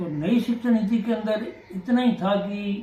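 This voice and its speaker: A man speaks with a high pitch and ordinary pitch variation. Noticeable background noise is present. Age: 70s. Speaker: retired senior teacher. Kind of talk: interview.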